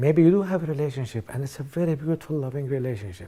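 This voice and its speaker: At a fairly quick pace, a man with a dark, mellow, somewhat breathy tone speaks at a fairly high pitch with lively intonation. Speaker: author and motivational speaker. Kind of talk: self-help seminar talk. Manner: fast.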